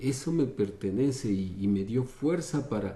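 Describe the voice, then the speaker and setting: In a room with audible echo, a man with a dark, mellow, somewhat breathy tone speaks at a fairly slow pace with lively intonation. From Ecuador (Quito). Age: 60s. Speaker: dancer. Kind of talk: interview. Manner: halting.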